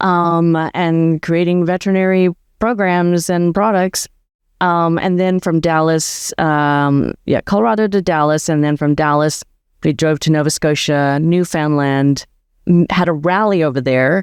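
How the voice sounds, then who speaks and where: A woman talks fairly slowly in an unremarkable speaking voice with ordinary pitch variation. Her loudness stays very even, and the background is quiet. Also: fairly low pitch for a woman. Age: 60s. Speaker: veterinarian turned van life community founder. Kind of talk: interview conversation.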